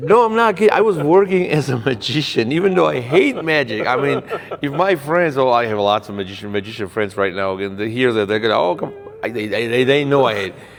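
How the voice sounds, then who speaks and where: At a fairly quick clip, a man with a medium pitch makes very wide pitch swings amid noticeable background noise. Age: 40s. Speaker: podcast host. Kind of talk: interview conversation.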